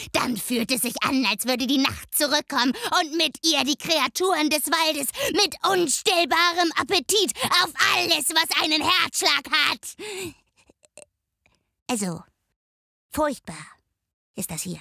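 A woman performs a put-on character voice with a high pitch and lively intonation. She goes at a fairly slow pace with long, frequent pauses, and the sound is dry and close with no echo. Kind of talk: dark fantasy narration.

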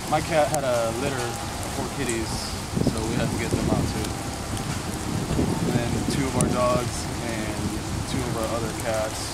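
A man speaks at a moderate pace with long, frequent pauses. The sound is dry with no echo, set against loud background noise. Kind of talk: interview answer. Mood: shaken but calm. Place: street. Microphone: camera far.

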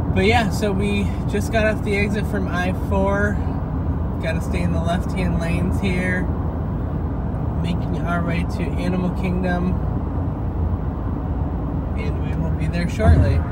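A man talks at a fairly slow pace, with long, frequent pauses. Loud background noise is present. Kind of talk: casual vlog commentary. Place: car. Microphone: phone near.

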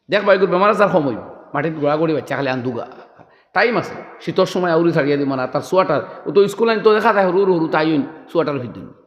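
Lively intonation with audible room echo. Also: man, high pitch for a man. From Assam, India. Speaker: Islamic preacher. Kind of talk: sermon.

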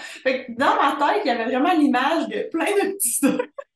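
The speaker goes at a fairly slow pace, with audible room echo. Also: woman. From Quebec. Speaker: podcast host. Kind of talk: casual chat. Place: home room. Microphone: video call.

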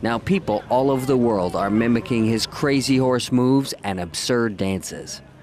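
A man at a medium pitch and moderate pace, with ordinary pitch variation and noticeable background noise. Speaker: news reporter. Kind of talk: formal newsreading, scripted feature report voiceover.

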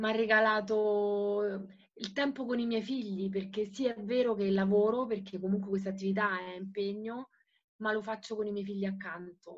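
Against a quiet background, a woman talks at a moderate pace with monotone, flat intonation. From Italy. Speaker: network marketing seller. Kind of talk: testimony. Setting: video call. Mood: emotional, earnest. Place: home room. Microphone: video call.

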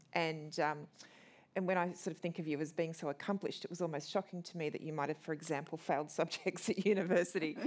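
A woman with an Australian accent talks very fast at a fairly low pitch. Her intonation stays fairly even over a quiet background. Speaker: interviewer and festival co-curator. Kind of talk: onstage interview. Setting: stage with audience. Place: hall.

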